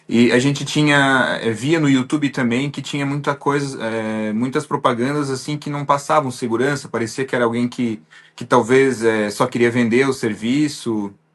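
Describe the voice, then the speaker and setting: Speaking at a moderate pace with hardly any pauses, a man holds a medium pitch and fairly even intonation. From Santa Catarina, southern Brazil. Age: 30s. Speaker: business owner, visa applicant. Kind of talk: interview. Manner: halting, many fillers.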